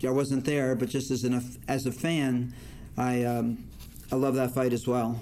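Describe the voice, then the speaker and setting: A man with an American accent, medium pitch, and a dark, mellow tone, flat and monotone at a fairly slow pace. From northern New Jersey. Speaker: boxing judge and lawyer. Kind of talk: interview.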